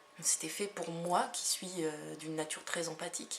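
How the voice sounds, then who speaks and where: Noticeable background noise runs under a woman who talks at a fairly slow pace. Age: 30s. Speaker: energy healer and hypnotherapist. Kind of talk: self-presentation video monologue. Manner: hesitant, many fillers.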